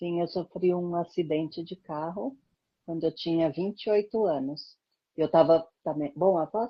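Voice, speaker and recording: A woman's fairly low voice with ordinary pitch variation, a fairly slow pace and long, frequent pauses. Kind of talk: interview.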